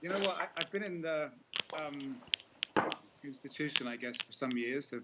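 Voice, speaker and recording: A man with a fairly high pitch speaks with long, frequent pauses over noticeable background noise. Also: ordinary pitch variation, moderate pace. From England, Norwich. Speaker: caller on a live spiritual broadcast. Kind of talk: casual chat. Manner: halting.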